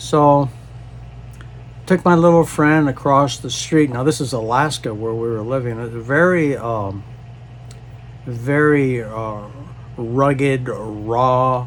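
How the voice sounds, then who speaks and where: Against noticeable background noise, a man with a medium pitch talks at a very slow pace, with long, frequent pauses and ordinary pitch variation. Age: 70s. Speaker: disaster relief charity founder. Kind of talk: personal storytelling monologue. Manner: halting, many fillers.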